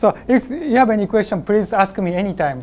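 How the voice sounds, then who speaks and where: His intonation rises and falls in a lively way. The man's delivery is fairly slow. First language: Japanese (speaking Spanish). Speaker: application engineer, trainer. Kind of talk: technical training presentation. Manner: halting, hesitant.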